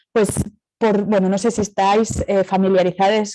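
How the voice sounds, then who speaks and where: A woman with a Catalan accent has a dark, mellow tone. She talks at a fairly quick pace with fairly even intonation. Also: dry, close sound with no echo. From Catalonia, Spain. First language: Catalan (speaking Spanish). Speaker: speaker at academic colloquium, cooperative representative. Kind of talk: conference talk. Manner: hesitant, many fillers.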